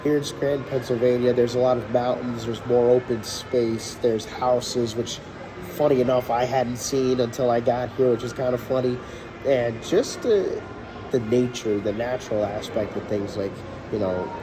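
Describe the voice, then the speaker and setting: A man with a New York accent and fairly even intonation, over noticeable background noise. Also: medium pitch for a man, moderate pace. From New York City. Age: 20s. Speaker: city IT specialist. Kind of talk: interview answer.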